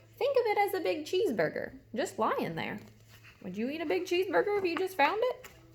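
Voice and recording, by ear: A woman puts on a character voice at an extremely high pitch with big pitch swings. She talks at a fairly quick pace.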